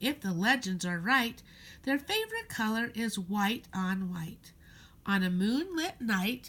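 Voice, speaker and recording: Putting on a creaky character voice, a woman speaks fairly slowly at a fairly high pitch with lively intonation, captured on a very clean recording with a silent background. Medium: read story. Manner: pedantic, rambling.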